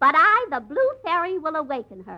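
In a put-on character voice, the speaker swings very widely in pitch at a moderate pace, with a bright, sharp tone. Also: woman, high pitch for a woman.

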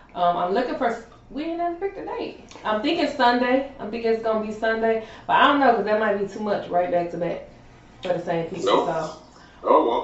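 Very wide pitch swings mark a woman speaking at a fairly quick pace, with audible room echo and noticeable background noise. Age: 30s. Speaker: podcast co-host. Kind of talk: casual chat.

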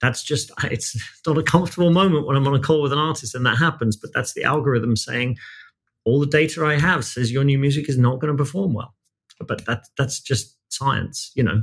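This man has a British accent and a fairly high pitch, sounding somewhat breathy as he talks at a fairly quick pace with ordinary pitch variation. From Britain. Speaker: music finance executive. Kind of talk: podcast interview.

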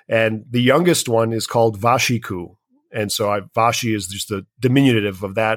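A man speaks at a moderate pace with ordinary pitch variation in an unremarkable speaking voice. The recording is very clean, with a silent background. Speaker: filmmaker. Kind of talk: interview.

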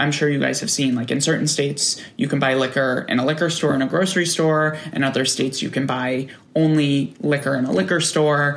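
A man with an American accent talks at a fairly quick pace. His loudness stays very even over noticeable background noise. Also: fairly high pitch for a man, ordinary pitch variation, hardly any pauses. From New York, outside Manhattan. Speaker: marketer and brand founder. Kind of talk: casual chat.

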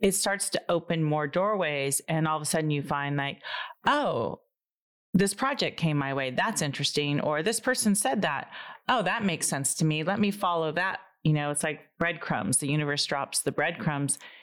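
A woman speaks with a very deep, low pitch. Her intonation is lively and her pace moderate. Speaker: energy practitioner and clairvoyant. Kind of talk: casual chat.

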